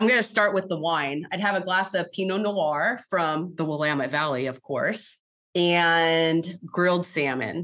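With an American accent and an ordinary speaking voice, a woman of fairly low pitch speaks at a fairly slow pace with ordinary pitch variation. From Oregon. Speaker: software engineer. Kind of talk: interview.

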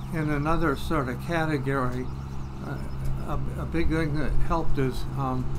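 Loud background noise surrounds the recording. A man speaks at a fairly slow pace. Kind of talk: interview answer. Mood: calm, reflective. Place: garden.

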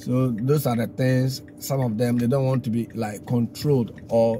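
A man speaks at a moderate pace in a flat monotone. The sound is dry with no echo, over light background noise. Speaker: driver vlogger. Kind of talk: casual vlog chat. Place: car. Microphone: phone near.

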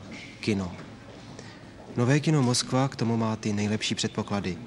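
With fairly even intonation, a man speaks at medium pitch and a moderate pace in an ordinary speaking voice. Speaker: newsreel narrator. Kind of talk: 1977 Czechoslovak newsreel narration, scripted. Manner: formal, measured, authoritative official-sounding delivery; steady, even pace with propagandistic solemnity.

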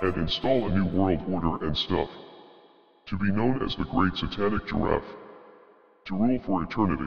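Using a put-on character voice, a man speaks at a moderate pace and fairly low pitch with long, frequent pauses. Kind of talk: comedic monologue. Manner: mock-grandiose, interrupted by casual filler.

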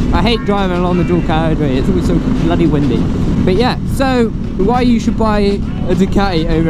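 A man's voice with ordinary pitch variation, loud background noise and a dry sound with no echo. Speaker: motorcycle vlogger. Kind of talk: casual vlog chat. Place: motorbike. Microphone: helmet.

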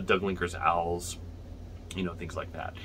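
Some light noise sits behind the voice. The speaker is a man. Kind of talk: tutorial. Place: home room. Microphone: phone near.

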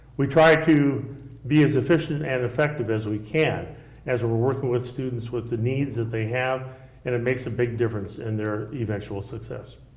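Audible room echo surrounds a speaker with an American accent. The pace is moderate and the intonation fairly even. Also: man, medium pitch for a man. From Nebraska. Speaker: state senator and retired school principal; candidate. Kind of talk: candidate forum debate. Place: studio. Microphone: lapel.

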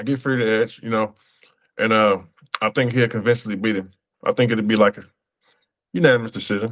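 A man talks at a very fast pace with fairly even intonation. He leaves long, frequent pauses. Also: medium pitch for a man, quiet background. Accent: American. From USA. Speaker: professional boxer. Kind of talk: interview. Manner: casual, relaxed. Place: home room. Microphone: phone near.

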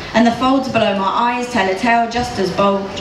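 A woman's fairly high voice at moderate pace, with fairly even intonation, audible room echo and noticeable background noise. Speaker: poet. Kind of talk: live poetry slam performance. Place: stage.

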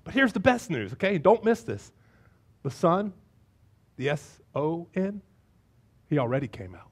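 A man's fairly high voice with a slightly husky edge and big pitch swings, at a fairly slow pace

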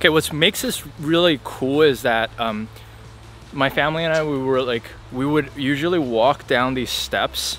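A man's voice sounds dry, with no echo. Music plays in the background. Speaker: vlogger. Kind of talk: casual vlog chat. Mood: cheerful, nostalgic. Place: forest. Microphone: phone near.

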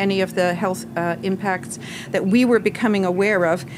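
A woman talks at a medium pitch, with noticeable background noise behind her. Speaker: pediatrician. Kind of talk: testimony. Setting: public hearing with microphone. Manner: soft-spoken.

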